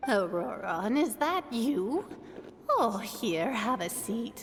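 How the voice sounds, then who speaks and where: In a put-on character voice with very wide pitch swings, a woman speaks at a very slow pace over clear background noise. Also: fairly high pitch for a woman. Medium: video game. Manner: warm, doting.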